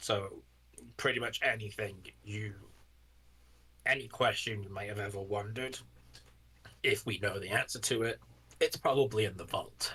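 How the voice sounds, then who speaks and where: A man uses a put-on character voice, raspy and fairly low in pitch. He goes at a moderate pace with long, frequent pauses. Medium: actual play. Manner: earnest, explanatory.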